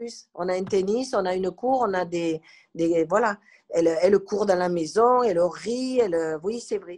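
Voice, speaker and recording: This is an ordinary speaking voice at a fairly slow pace, with ordinary pitch variation. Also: woman, medium pitch for a woman. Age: 60s. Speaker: grandmother and carer. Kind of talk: testimony.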